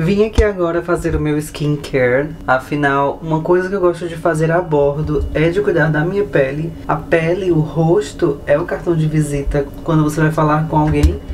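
The speech moves at a moderate pace with hardly any pauses and fairly even intonation. Light background noise can be heard. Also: man, fairly high pitch for a man. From Ceará, Brazil. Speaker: cruise ship crew member. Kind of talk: casual vlog talk to camera. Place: bathroom. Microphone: phone near.

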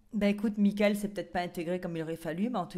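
At a very fast pace, a woman talks with ordinary pitch variation over a quiet background. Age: 40s. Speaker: reality TV contestant. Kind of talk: casual chat. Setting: in a bathtub. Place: bathroom. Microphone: handheld.

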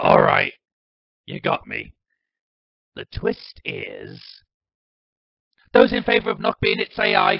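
A man speaks in a put-on character voice, pitched high for a man. His pace is fairly slow, with long, frequent pauses. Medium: audio drama. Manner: playful, mischievous.

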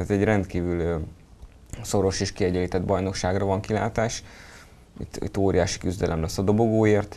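Long, frequent pauses break up a man's speech, pitched fairly low with a dark, mellow tone. His intonation stays monotone and flat. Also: moderate pace. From Hungary. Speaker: sports journalist. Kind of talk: casual sports discussion. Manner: halting, many fillers. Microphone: lapel.

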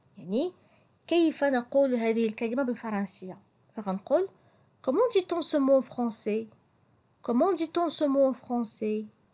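Speaking at a very slow pace with long, frequent pauses, a woman with a Moroccan accent uses a high pitch and a dark, mellow tone against a quiet background. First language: Moroccan Arabic (speaking French). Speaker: French teacher. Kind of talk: language tutorial. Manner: slow, repetitive.

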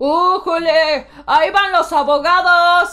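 Over background music, a put-on character voice shouts at an extremely high pitch and a very slow pace. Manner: mocking.

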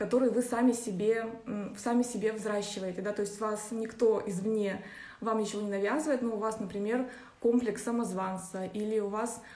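Audible room echo surrounds a woman's voice. She talks at a moderate pace with fairly even intonation. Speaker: astrology teacher. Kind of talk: lecture. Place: home room. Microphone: phone near.

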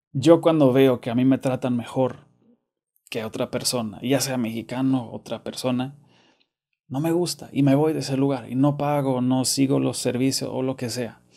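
A man with a Monterrey accent and fairly even intonation. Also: moderate pace, quiet background. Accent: Monterrey (regio) Spanish. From Germany. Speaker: YouTuber. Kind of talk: casual monologue to camera. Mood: earnest, somewhat upset.

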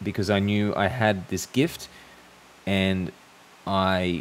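Speaking in an Australian accent, a man with a very deep, low pitch is heard over light background noise. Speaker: YouTuber. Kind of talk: monologue to camera. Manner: hesitant, with fillers. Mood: calm, thoughtful. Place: home room. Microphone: studio mic.

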